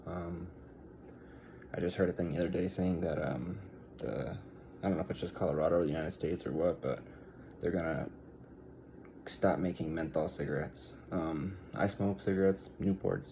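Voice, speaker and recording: A man speaks quietly in a very deep, low voice with vocal fry and a dark, mellow tone, using ordinary pitch variation at a fairly quick pace broken by long, frequent pauses. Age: 30s. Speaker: vlogger. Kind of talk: casual rant to camera. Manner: hesitant, many fillers.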